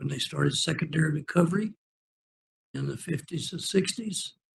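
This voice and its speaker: Vocal fry runs through a man's fairly high-pitched voice. He keeps a moderate pace. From Oklahoma. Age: 80s+. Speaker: public commenter, retired intelligence analyst. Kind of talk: public hearing comment.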